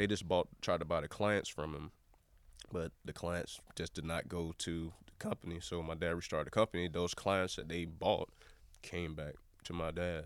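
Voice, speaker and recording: The voice carries a Southern US accent. Delivery is at a moderate pace with monotone, flat intonation. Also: man, very deep, low pitch for a man. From US South, Jacksonville, Florida. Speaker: photographer. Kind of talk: casual chat.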